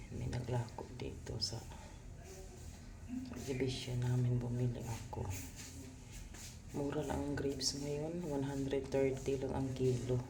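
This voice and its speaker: In a room with audible echo and noticeable background noise, a woman talks very slowly in a very deep, low, breathy voice with fairly even intonation. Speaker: vlogger. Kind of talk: casual vlog talk.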